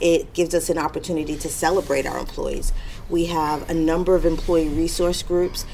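Noticeable background noise sits behind a voice moving at a fairly quick clip. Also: woman. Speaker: corporate diversity director. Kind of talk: interview answers.

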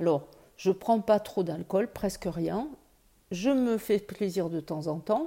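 On a very clean recording with a silent background, a woman with a medium pitch and a dark, mellow tone speaks at a very slow pace with lively intonation. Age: 60s. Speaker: breast cancer patient. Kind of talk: testimony.

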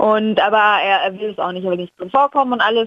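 In a normal speaking voice, a woman talks with a fairly high pitch and fairly even intonation. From Franconia, Germany. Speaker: travel blogger. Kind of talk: casual interview. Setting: phone call.

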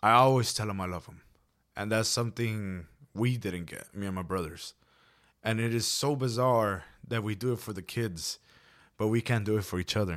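The speech moves at a moderate pace with ordinary pitch variation and long, frequent pauses. The recording is very clean, with a silent background. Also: man, fairly low pitch for a man. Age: 20s. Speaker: podcast co-host. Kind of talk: casual chat.

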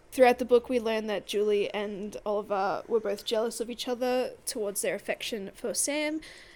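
In an ordinary speaking voice, a woman talks at a moderate pace and a fairly high pitch, with ordinary pitch variation. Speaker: book podcast co-host. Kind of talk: casual book discussion. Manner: laughs often.

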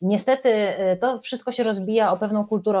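At a fairly quick pace, a woman with a fairly high voice speaks with ordinary pitch variation. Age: 30s. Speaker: radio journalist and author. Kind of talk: casual chat.

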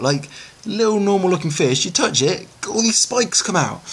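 Over noticeable background noise, a man with a British accent talks at a moderate pace with lively intonation. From Britain. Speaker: filmmaker. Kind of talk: recorded answers to emailed interview questions. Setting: self-recorded audio file.

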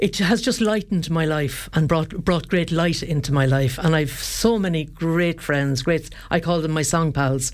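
A woman with an Irish accent and a very deep, low pitch, ordinary pitch variation, very even loudness, a moderate pace and hardly any pauses. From Ireland, County Kildare. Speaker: singer. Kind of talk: radio interview. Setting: studio.

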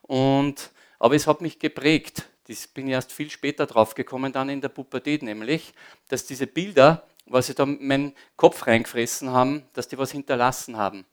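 Captured in a very clean recording with a silent background, the speaker uses an Austrian accent at a moderate pace, with fairly even intonation and big swings in loudness. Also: man, fairly high pitch for a man. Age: 50s. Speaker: former disco owner giving testimony. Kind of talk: testimony. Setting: church service with audience.

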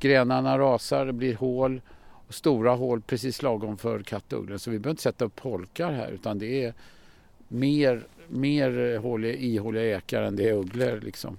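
At a moderate pace and medium pitch, a man talks with ordinary pitch variation on a very clean recording with a silent background. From Stockholm, Sweden. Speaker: birdwatcher and conservationist, excursion guide. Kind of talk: guided walk explanation. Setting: outdoors.

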